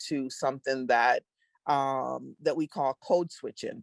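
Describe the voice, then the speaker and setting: A woman's very deep, low voice in a Caribbean accent, fairly slow with ordinary pitch variation, dry and close with no echo in a very clean recording with a silent background. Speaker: diversity strategist. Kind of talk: interview. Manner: halting.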